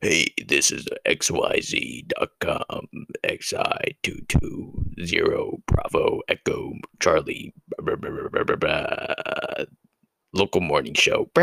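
A man's put-on character voice, extremely high-pitched and very slow. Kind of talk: broadcast.

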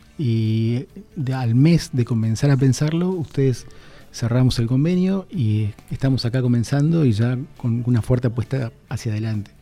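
Music in the background behind a man at medium pitch, with ordinary pitch variation and a moderate pace. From Argentina, Misiones (Posadas). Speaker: university vice dean and dean candidate. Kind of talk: radio interview. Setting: radio studio.

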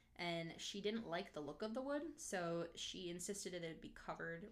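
A woman's medium-pitched voice with an American accent, ordinary pitch variation, and audible room echo. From northern Minnesota. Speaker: podcast co-host. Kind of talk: casual chat; storytelling.

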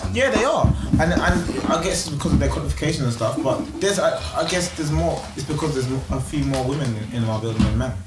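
Noticeable background noise surrounds a man who speaks very fast. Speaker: podcast panelist. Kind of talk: heated group debate. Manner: fast, emphatic, interrupting.

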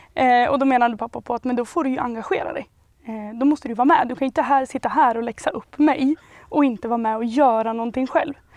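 A woman's high-pitched voice at a very fast pace, ordinary in pitch variation, with a dry, close sound and no echo. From Sweden, Hälsingland (Järvsö). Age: 20s. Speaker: local association chairperson. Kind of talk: interview.

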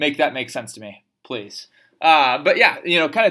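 This man speaks with an American accent at a fairly quick pace, his voice fairly high-pitched with a bright, sharp tone. The recording is very clean, with a silent background. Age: 20s. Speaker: political podcast host. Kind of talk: political commentary monologue. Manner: animated.

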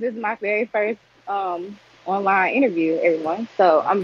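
Speaking in a Southern US accent, a woman talks very fast at a fairly high pitch. Her pitch varies in an ordinary way, and the sound is dry and close with no echo. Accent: US South. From Arkansas. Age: 20s. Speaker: entrepreneur. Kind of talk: casual chat.

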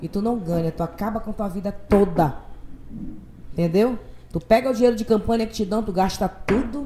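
A woman with a fairly high, somewhat breathy voice and a dark, mellow tone speaks at a moderate pace with ordinary pitch variation and long, frequent pauses. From Parintins, Amazonas, northern Brazil. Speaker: singer and radio host. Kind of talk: casual interview chat.

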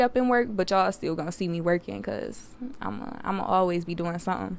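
An animated tone with ordinary pitch variation. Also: woman. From US, Detroit. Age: 20s. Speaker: podcast host, college student. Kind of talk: casual monologue.

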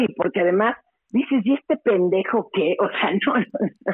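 Keeping very even loudness, a woman talks at a fairly high pitch and a fairly slow pace with lively intonation. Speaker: radio host and journalist. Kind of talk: casual interview.

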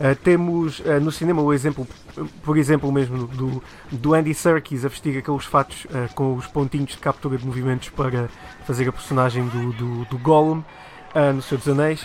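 With music in the background, a man with a European Portuguese accent and fairly high pitch talks at a moderate pace with fairly even intonation. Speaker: TV show host. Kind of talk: casual chat.

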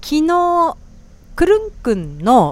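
A woman speaks with very wide pitch swings. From Japan. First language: Japanese (speaking Indonesian). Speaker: podcast host. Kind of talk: casual chat. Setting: small restaurant.

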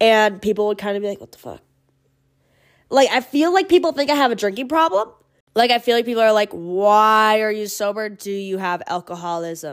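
Speech runs at a fairly quick pace with lively intonation, an animated tone and big swings in loudness. It is captured on a very clean recording with a silent background. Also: woman, fairly high pitch for a woman. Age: 20s. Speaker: podcast host. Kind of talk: casual monologue. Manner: fast.

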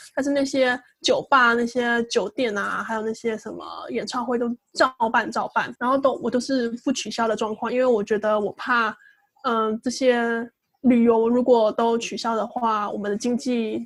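This woman has a plain, everyday voice, pitched fairly high. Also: fairly slow pace. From Taiwan. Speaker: podcast co-host. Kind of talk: casual chat.

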